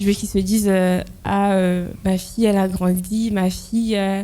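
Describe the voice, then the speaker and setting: Speaking at a fairly slow pace, a woman keeps a medium pitch and a dark, mellow tone in a monotone, flat intonation. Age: 20s. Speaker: intensive care nurse. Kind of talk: interview. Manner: hesitant, many fillers.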